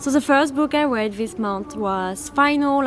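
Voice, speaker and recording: A woman talks at a fairly quick pace with a French accent and ordinary pitch variation. Noticeable background noise runs behind her. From France. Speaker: book YouTuber. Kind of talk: casual vlog chat. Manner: animated.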